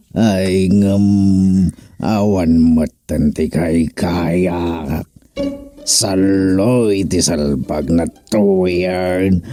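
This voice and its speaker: A man puts on a character voice, very deep and low in pitch. He speaks very slowly while faint music plays behind him. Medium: audio drama.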